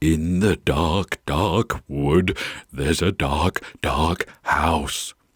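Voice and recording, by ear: Using a put-on character voice, a man speaks with very deep, low pitch and a raspy sound at a very slow pace.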